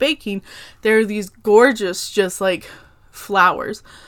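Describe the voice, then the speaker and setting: Speaking at a fairly slow pace with an American accent, a woman uses a medium pitch on a very clean recording with a silent background. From Oklahoma. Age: 20s. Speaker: podcast host. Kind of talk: casual chat. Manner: animated.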